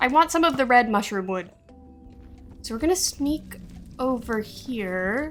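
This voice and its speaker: A woman speaks at a moderate pace in a high voice with very wide pitch swings, with music playing in the background. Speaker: gaming youtuber. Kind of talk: gameplay commentary. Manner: animated.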